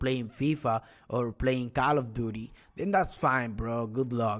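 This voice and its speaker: Using a non-native accent, a man talks at a fairly slow pace and medium pitch. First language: not English. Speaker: e-commerce coach. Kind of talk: sales pitch. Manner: animated; halting.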